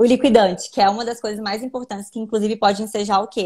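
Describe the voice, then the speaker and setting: Speaking at a very fast pace, a woman with a medium pitch keeps her intonation fairly even. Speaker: lawyer. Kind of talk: live stream interview explaining law.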